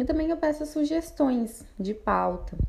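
Somewhat breathy and dark, mellow in tone, this voice moves at a fairly slow pace with very wide pitch swings. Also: woman. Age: 20s. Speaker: podcast host. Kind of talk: personal monologue podcast. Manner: casual, hesitant with fillers.

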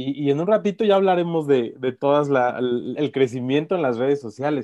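A man with an unremarkable speaking voice talks at a fairly slow pace and a fairly high pitch, his intonation lively, over a quiet background. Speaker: podcast host. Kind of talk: interview.

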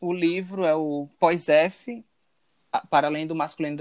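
This man has a fairly high pitch, an unremarkable speaking voice, and fairly even intonation. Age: 20s. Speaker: podcast co-host. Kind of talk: casual chat.

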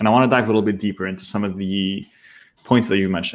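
Speaking very fast at a fairly low pitch, a man keeps his intonation fairly even on a very clean recording with a silent background. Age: 20s. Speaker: podcast host. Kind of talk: casual interview.

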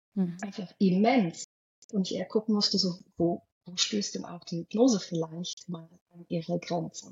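A woman speaks at a moderate pace with medium pitch and fairly even intonation. Her voice is somewhat breathy, with big swings in loudness. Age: 40s. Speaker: hypnosis coach. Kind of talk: interview.

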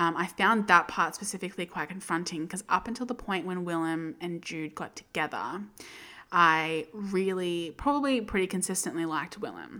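Ordinary pitch variation from a woman with an Australian accent. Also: very clean recording, silent background. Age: 20s. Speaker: book podcast host. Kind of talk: solo book review monologue. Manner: casual, chatty with many fillers.

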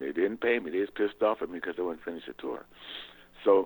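A man speaks very fast with lively intonation and vocal fry. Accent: American. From Southern California (San Pedro). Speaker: guitarist. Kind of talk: interview.

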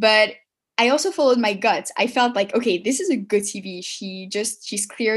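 A woman with a French accent, somewhat breathy and fairly high-pitched, at a moderate pace over a quiet background. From Paris, then Montreal from age seven. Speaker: marketing consultant and entrepreneur. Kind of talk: interview.

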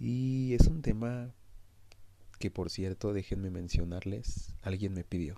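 Very slow delivery with lively intonation. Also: man, fairly low pitch for a man. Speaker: podcast host. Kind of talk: storytelling narration.

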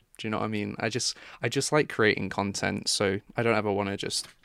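Recorded very cleanly with a silent background, a man with an English accent speaks fairly low, with vocal fry and ordinary pitch variation. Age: 20s. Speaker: true crime YouTuber. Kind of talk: casual chat.

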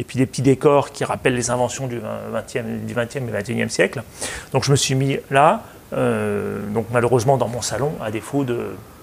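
A man at a fairly slow pace against noticeable background noise. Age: 40s. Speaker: consultant and public speaker. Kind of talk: interview.

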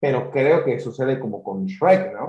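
The voice is a man's, dark and mellow in tone. He speaks fairly slowly and sounds somewhat breathy. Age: 20s. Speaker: podcast host. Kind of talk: casual interview.

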